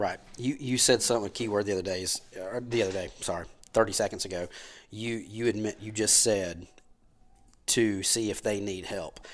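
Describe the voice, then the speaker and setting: A man with a Southern US accent, fairly low in pitch, at a fairly quick pace with fairly even intonation, on a very clean recording with a silent background. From US South, Powder Springs, Georgia. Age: 40s. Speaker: insurance agency owner. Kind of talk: casual chat.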